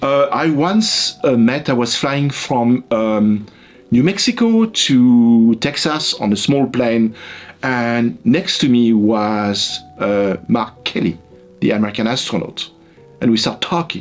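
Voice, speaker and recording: With a French accent, a man of medium pitch talks at a very slow pace and very even loudness. Music plays in the background. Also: ordinary pitch variation. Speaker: psychology professor. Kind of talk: interview. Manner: hesitant, with fillers and repetitions.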